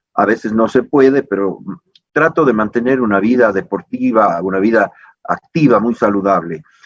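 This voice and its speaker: A man with an ordinary speaking voice, medium pitch and ordinary pitch variation at a moderate pace, in a dry, close sound with no echo. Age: 60s. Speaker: politician. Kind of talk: interview.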